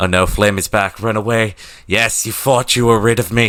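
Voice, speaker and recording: Speaking with a British accent, a man has a bright, sharp tone, ordinary pitch variation and a moderate pace on a very clean recording with a silent background. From Britain. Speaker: streamer. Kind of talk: casual live stream chat. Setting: live stream with webcam. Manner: animated.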